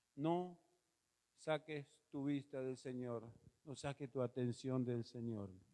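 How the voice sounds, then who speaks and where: With long, frequent pauses, a man speaks at a very slow pace in a dark, mellow tone. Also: medium pitch for a man, ordinary pitch variation. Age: 60s. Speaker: pastor. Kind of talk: sermon. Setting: church auditorium.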